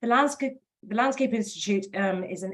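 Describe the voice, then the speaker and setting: A woman with a British accent, fairly high pitch, ordinary pitch variation and a fairly quick pace. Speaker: professional body representative. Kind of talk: webinar presentation. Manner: fast.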